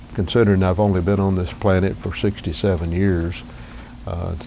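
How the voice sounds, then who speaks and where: This man has a very deep, low pitch and fairly even intonation, speaking at a moderate pace with long, frequent pauses. Noticeable background noise and audible room echo fill the recording. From US South, northeast Alabama. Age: 60s. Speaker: vlogger. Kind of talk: casual vlog monologue. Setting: outdoors under cabin porch roof. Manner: halting.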